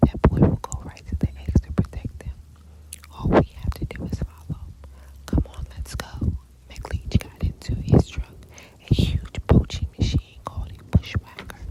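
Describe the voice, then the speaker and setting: Someone is whispering. There is noticeable background noise. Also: moderate pace. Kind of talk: ASMR bedtime story reading of a children's book. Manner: whispered, soft.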